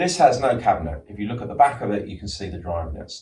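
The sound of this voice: Audible room echo surrounds a man speaking at a fairly quick pace with a slightly mellow tone and lively intonation.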